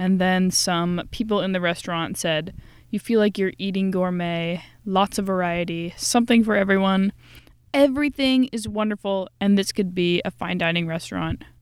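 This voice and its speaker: Moderate pace and medium pitch from a woman, an ordinary speaking voice with ordinary pitch variation. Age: 20s. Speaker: podcast host. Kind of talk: casual chat. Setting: small room.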